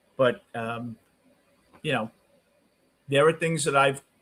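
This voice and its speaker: In a Brooklyn accent, a man speaks with fairly even intonation. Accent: New York (Brooklyn). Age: 60s. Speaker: sports talk streamer. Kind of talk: live postgame stream talk, reading chat. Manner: casual, conversational.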